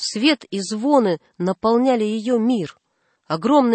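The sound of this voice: The background stays quiet. Pitch varies in an ordinary way in this unforced reading voice.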